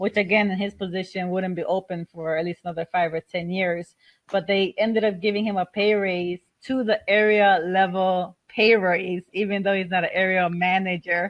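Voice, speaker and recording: Her intonation is flat and monotone. This woman speaks at a medium pitch. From Chicago, Puerto Rican family. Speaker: airport manager and home business presenter. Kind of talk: webinar presentation. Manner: fast.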